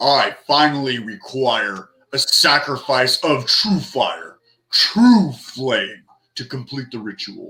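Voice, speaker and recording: A man does a put-on character voice, fairly high-pitched and very slow. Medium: actual play. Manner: grand, commanding.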